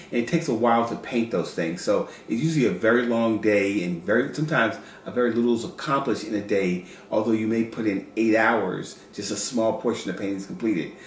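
Over light background noise and audible room echo, a man talks very fast at a medium pitch with ordinary pitch variation. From US South, North Carolina. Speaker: children's book illustrator. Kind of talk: casual chat. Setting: at home, kitchen counter. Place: kitchen. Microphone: camera far.

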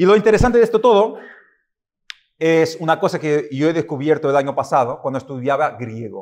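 Against a quiet background, a man with a fairly high pitch talks at a moderate pace with lively intonation. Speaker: preacher. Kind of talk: sermon. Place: church. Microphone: podium.

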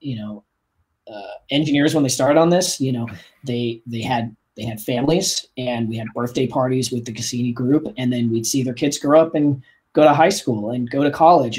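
With an American accent, a man talks in a somewhat breathy voice with ordinary pitch variation. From Kansas (Wichita). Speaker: aerospace engineer. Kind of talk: interview. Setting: video call.

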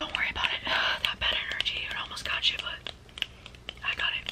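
Here a woman is whispering. She keeps a moderate pace. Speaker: booktuber / ASMR beginner. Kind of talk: ASMR personal attention and book recommendation. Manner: soft, whispered, repetitive, calming. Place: home room.

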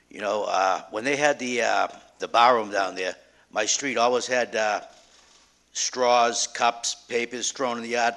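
This man has a bright, sharp tone and a Boston accent, speaking at a fairly slow pace with medium pitch and fairly even intonation. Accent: Boston-area. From Revere, Massachusetts. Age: 50s. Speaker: resident speaking at public hearing. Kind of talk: public comment at council hearing. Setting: city council meeting.

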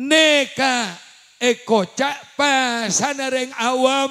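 In a raised, projected voice, a man speaks at an extremely high pitch with an animated tone over a quiet background. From Java, Indonesia. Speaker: Islamic preacher. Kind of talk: sermon. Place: hall. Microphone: handheld.

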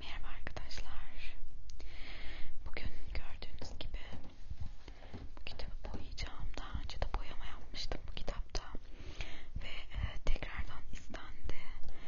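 Long pauses come often as the speaker talks fairly slowly. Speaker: ASMR creator. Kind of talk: ASMR casual talk to camera while coloring. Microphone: handheld.

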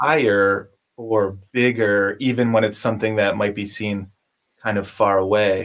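A man with a New York accent speaks at a fairly slow pace in a fairly low pitch, his intonation monotone and flat, on a very clean recording with a silent background. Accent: American, New York. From upstate New York. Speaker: podcast host and collage artist. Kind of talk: casual interview.

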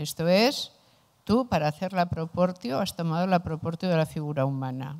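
An ordinary speaking voice comes from a woman with a fairly low pitch and ordinary pitch variation. She speaks at a moderate pace over a quiet background. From Spain. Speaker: philosopher; philosopher lecturer. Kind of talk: lecture. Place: classroom. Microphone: handheld.

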